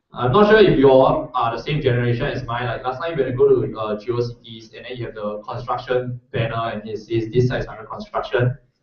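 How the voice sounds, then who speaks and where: A man's plain, everyday voice at medium pitch and a moderate pace. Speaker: workshop instructor. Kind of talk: tutorial.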